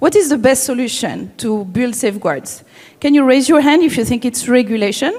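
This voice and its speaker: Fairly quick, high-pitched speech from a woman with lively intonation. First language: not English. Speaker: AI ethics advocate, children's safety. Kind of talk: conference talk. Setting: stage with audience. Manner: halting.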